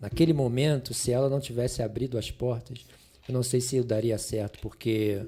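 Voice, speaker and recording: A man's voice is medium in pitch, dark and mellow in tone, and somewhat breathy. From Rio de Janeiro, Brazil. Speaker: pastor and biologist. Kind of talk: podcast interview answer.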